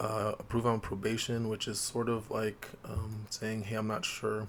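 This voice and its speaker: A quiet man talks at a medium pitch and a moderate pace. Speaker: gaming channel host. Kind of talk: tutorial walkthrough. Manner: talking quietly to preserve voice.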